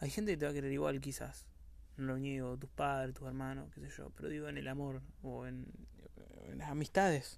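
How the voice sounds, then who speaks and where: Room echo is audible as a man talks at a fairly quick pace. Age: young (19-20). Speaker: podcaster. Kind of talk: casual monologue.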